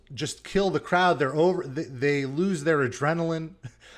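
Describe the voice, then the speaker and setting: With an unremarkable speaking voice, a man talks at a moderate pace and a fairly high pitch. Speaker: podcast host / interviewer. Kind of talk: interview, conversational phone talk.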